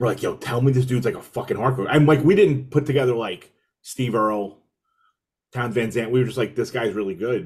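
Speaking at a fairly quick pace, a man with a medium pitch sounds somewhat breathy and uses ordinary pitch variation. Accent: American. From New York City, Brooklyn. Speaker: hardcore musician and podcaster. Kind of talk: casual chat. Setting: video call.

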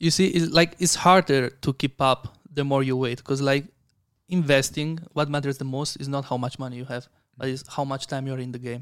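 Here a man speaks with an Italian accent at a fairly high pitch. His pace is fairly quick and his intonation fairly even. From Italy. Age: 20s. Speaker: content creator and investor. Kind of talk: casual interview chat.

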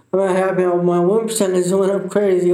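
Fairly quick, monotone, flat delivery with audible room echo. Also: man. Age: 20s. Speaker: accident survivor and father. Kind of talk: casual chat. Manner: slurred speech from injury.

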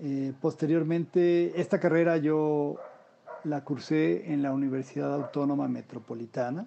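At a fairly slow pace, a man with a plain, everyday voice speaks fairly high in pitch with ordinary pitch variation. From Mexico City. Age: 50s. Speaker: unemployed graphic designer. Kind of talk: interview.

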